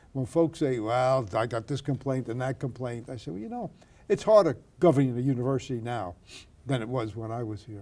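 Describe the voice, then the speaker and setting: This man has a Brooklyn accent. His tone is dark and mellow. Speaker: retired university president. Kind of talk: oral history interview.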